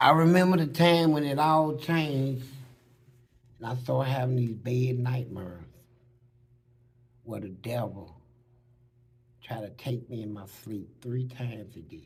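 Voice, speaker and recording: Speaking at a fairly slow pace with long, frequent pauses, the voice is somewhat breathy, with lively intonation, an animated tone, and audible room echo. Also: man, medium pitch for a man. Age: 60s. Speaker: former prisoner. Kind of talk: interview testimony.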